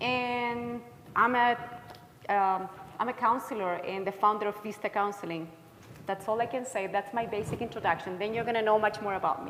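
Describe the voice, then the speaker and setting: A woman's fairly high voice with a slight Chilean accent and fairly even intonation, at a moderate pace amid noticeable background noise. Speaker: counselor. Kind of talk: workshop presentation.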